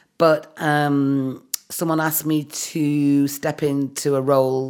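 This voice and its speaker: A woman with a very deep, low pitch speaks in a Mancunian accent, her intonation fairly even. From Manchester, England. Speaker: writer and director. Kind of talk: casual interview chat.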